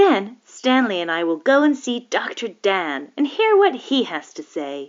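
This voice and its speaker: A woman does a put-on character voice, fairly high in pitch with very wide pitch swings, at a moderate pace. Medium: read story. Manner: crisp, proper.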